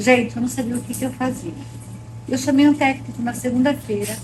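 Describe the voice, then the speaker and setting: Noticeable background noise runs beneath a woman speaking at an even, moderate rate. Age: 60s. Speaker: baking course student. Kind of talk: testimony.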